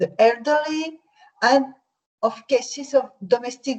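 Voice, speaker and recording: Very slow speech from a woman with a French accent, high in pitch, with ordinary pitch variation. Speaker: victim support organisation head. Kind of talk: conference presentation. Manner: halting.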